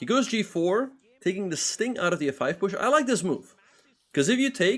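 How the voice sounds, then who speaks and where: A man with a Dutch accent talks at a fairly quick pace and with lively intonation. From Netherlands. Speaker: chess grandmaster and streamer. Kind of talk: live stream commentary with chat. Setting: live stream.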